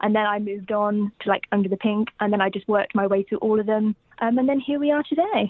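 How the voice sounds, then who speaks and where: A woman with a southern English accent at a very fast pace. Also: fairly high pitch for a woman, ordinary pitch variation. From England, Cambridge. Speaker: university student and fan. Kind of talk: casual chat. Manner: halting.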